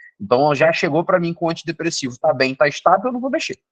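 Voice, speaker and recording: With no echo at all, the sound is dry and close against a quiet background. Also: man. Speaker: psychiatrist. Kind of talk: lecture. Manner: fast.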